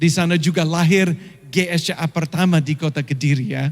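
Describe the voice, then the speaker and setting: A man with a non-native accent, a high pitch, fairly even intonation and a moderate pace. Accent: foreign accent in Indonesian, slightly stiff. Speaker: pastor. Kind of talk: sermon. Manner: frequent hesitations (eh).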